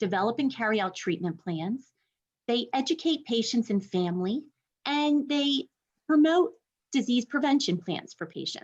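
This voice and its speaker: Over a quiet background, a woman sounds somewhat breathy, her pitch swinging very widely. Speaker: university instructor and program director. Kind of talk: webinar presentation. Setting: online webinar. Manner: fast.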